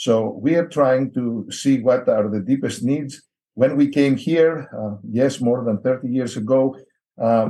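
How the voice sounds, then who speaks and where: This man speaks in a Greek accent at a medium pitch. His pitch varies in an ordinary way. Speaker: missionary. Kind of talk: interview.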